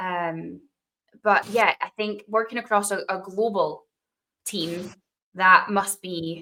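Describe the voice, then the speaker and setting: A woman with a bright, sharp tone speaks at a medium pitch and a very slow pace. Her intonation stays fairly even, with long, frequent pauses. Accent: Dundee. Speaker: podcast host, tech presales professional. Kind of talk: interview conversation.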